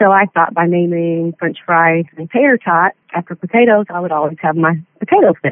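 A woman speaks with a fairly low pitch and ordinary pitch variation. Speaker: dog owner. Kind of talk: interview.

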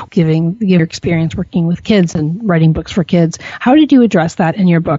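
A woman with a somewhat breathy, fairly low-pitched voice talks at a fairly quick pace. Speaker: radio host and pet business owner. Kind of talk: casual interview. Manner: animated.

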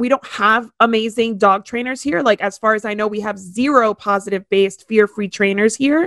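A woman with an American accent and an ordinary speaking voice talks at a moderate pace and a fairly high pitch, with hardly any pauses, in a dry, close sound with no echo. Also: fairly even intonation. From Miami, Florida. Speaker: podcast host. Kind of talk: casual chat.

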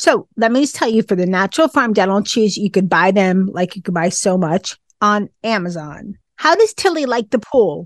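In a plain, everyday voice, a woman speaks at a moderate pace and medium pitch with lively intonation, the sound dry and close with no echo over a quiet background. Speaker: pet podcast host. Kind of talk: casual chat.

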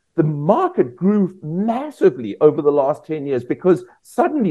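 A man speaks with a South African accent. His voice is high in pitch, with lively intonation. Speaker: veterinarian. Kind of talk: interview.

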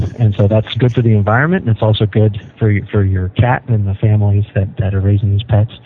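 With noticeable background noise behind him, a man talks very fast in a flat monotone at a fairly low pitch, with very even loudness and hardly any pauses. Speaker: pet toy company representative. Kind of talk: interview. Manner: hesitant, many fillers.

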